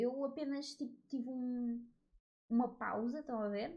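Her pitch high and her tone dark and mellow, a woman speaks at a fairly slow pace. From Portugal. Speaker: podcaster. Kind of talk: casual monologue. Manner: informal, with frequent fillers.

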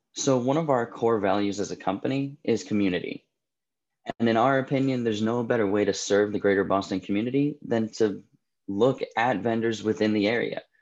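An unremarkable speaking voice from a man, medium in pitch, fairly quick, with fairly even intonation, very even loudness and a quiet background. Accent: American. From New Jersey. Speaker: food delivery business founder. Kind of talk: interview.

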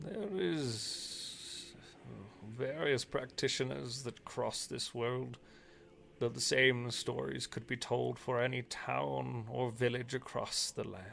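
A man puts on a gravelly character voice at a medium pitch and a fairly slow pace. Clear background noise runs behind him. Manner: solemn, ominous.

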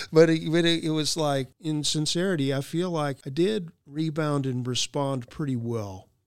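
A man with a plain, everyday voice talks at a moderate pace with hardly any pauses, his fairly high pitch rising and falling in an ordinary way. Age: 60s. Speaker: training and leadership director. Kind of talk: interview answers, motivational talk.

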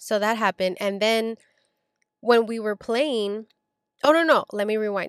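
A woman speaks at a moderate pace with a fairly high pitch, ordinary pitch variation and an animated tone, recorded with a dry, close sound and no echo. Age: 20s. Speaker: podcast host. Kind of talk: casual chat.

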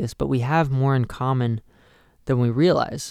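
This man has a normal speaking voice with fairly even intonation. The sound is dry and close, with no echo. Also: very clean recording, silent background. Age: 20s. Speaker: youth pastor. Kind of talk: youth group talk. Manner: frequent filler words.

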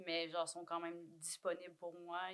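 Her fairly low-pitched voice stays monotone, with flat intonation. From Quebec, Cree community of Waswanipi. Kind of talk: casual chat.

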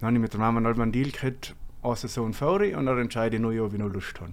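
This man has a South Tyrolean accent and a medium pitch. He talks at a very fast pace with ordinary pitch variation. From South Tyrol, Langtaufers valley. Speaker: engineer, former ski racer. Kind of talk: interview.

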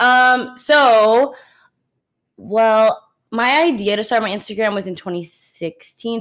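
This woman has a plain, everyday voice with a fairly high pitch. Her pitch varies in an ordinary way. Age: 20s. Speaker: podcast co-host. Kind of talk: casual chat.

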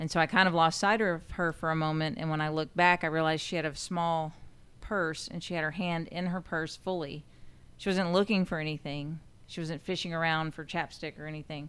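Very cleanly recorded over a silent background, a woman with a fairly low pitch and an unremarkable speaking voice talks fairly quickly with fairly even intonation. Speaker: sheriff's deputy, prisoner transport. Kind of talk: casual chat.

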